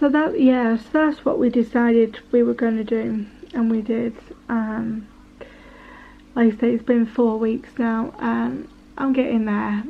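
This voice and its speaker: With an English accent, a woman speaks at a fairly slow pace, leaving long, frequent pauses. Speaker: vlogger. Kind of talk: personal testimony. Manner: halting, hesitant.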